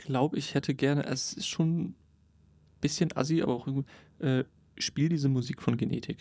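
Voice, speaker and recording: A man with a fairly high pitch talks at a moderate pace with ordinary pitch variation. Long, frequent pauses break up his speech. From northern Germany (Cuxhaven). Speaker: podcast co-host. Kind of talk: casual chat. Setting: studio booth.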